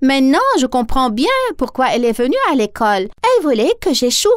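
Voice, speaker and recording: Putting on a cartoonish character voice, a woman speaks at a moderate pace with a high pitch and lively intonation. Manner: gentle, sweet.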